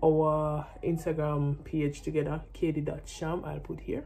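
Someone speaks with a Jamaican accent. The pace is fairly slow. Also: woman. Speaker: vlogger and professional netball player; vlogger. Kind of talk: casual vlog talk to camera. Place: home room. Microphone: phone near.

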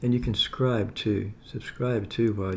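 A man with a fairly low, somewhat breathy voice talks at a moderate pace. His intonation is fairly even, with light background noise behind him. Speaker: home food reviewer. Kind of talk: casual vlog chat. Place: home room. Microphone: phone near.

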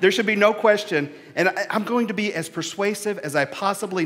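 Moderate pace from a male speaker. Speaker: minister. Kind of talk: sermon. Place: church. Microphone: headset.

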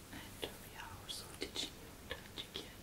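Someone whispers softly at a fairly slow pace. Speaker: ASMR host giving a hair massage. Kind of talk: soft ASMR chat to viewers. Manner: soft ASMR whisper. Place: home room.

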